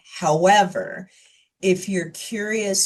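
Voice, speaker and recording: A woman speaks very slowly in a somewhat breathy voice against a quiet background. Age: 50s. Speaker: geriatrician. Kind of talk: Q&A after a health talk. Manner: calm explanatory.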